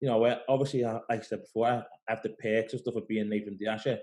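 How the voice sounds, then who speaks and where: A man with a Liverpool accent, a dark, mellow tone and fairly even intonation. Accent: Scouse. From Liverpool, England. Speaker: pro bodybuilder. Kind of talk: casual interview. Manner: fast.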